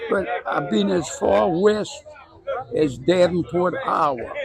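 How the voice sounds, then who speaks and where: Noticeable background noise sits behind a man with an American accent and a high pitch. He speaks at a fairly slow pace. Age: 80s+. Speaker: car club organizer and mechanic. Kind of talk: casual interview.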